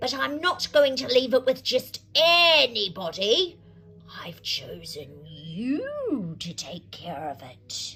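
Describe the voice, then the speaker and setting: A female-sounding voice uses a put-on character voice with high pitch and a very slow pace while faint music plays in the background. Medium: read story.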